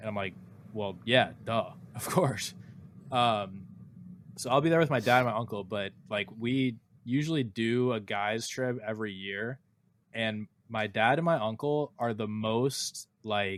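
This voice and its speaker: A man with an American accent talks in a normal speaking voice at a fairly slow pace, with ordinary pitch variation. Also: medium pitch for a man. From USA. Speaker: podcast co-host. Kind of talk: casual chat.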